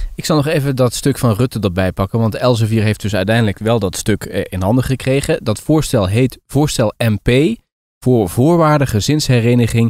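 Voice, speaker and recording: In a dry, close sound with no echo, a man with an unremarkable speaking voice and medium pitch talks at a moderate pace with lively intonation. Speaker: podcast co-host. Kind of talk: casual chat. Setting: remote call.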